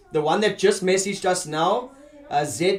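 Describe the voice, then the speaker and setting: The speech shows ordinary pitch variation against noticeable background noise. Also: man. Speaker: online meeting host. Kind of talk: video call meeting. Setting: video call. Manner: animated when excited.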